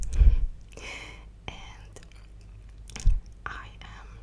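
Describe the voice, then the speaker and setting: The speech is whispered. Noticeable background noise runs throughout. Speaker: ASMR artist. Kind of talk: ASMR Q&A rambling.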